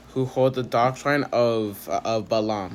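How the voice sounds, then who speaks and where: Very slow speech over noticeable background noise. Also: man. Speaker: bible reading video host. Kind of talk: reading aloud. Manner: halting, stumbles over words; many filler words.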